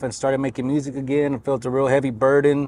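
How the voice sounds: A man at medium pitch. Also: slightly mellow tone.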